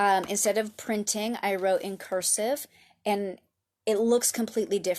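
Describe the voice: A quiet background behind plain reading aloud, intonation fairly even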